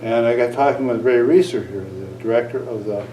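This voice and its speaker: A man's medium-pitched voice with an American accent, at a moderate pace, with audible room echo and noticeable background noise. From northern Wisconsin. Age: 60s. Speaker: Native cultural consultant. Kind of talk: interview.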